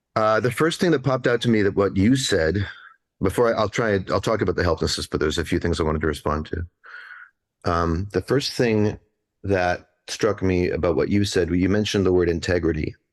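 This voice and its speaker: A man's normal speaking voice, fairly low in pitch with ordinary pitch variation, with a Canadian accent, at a fairly quick pace, very even in loudness, over a quiet background. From Canada. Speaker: musical theater writer and author. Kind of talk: panel discussion.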